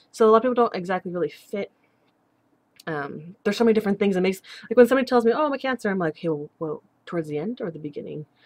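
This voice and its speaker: A woman at a very fast pace, the sound dry and close with no echo. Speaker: vlogger. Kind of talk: casual video blog.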